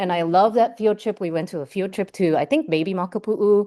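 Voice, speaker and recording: Over a quiet background, the dark, mellow voice moves at a fairly quick pace. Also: woman. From Hawaii, Oahu (Ewa, Waipio and Waikele). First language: Japanese. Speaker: marine scientist. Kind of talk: lecture. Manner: casual, many filler words.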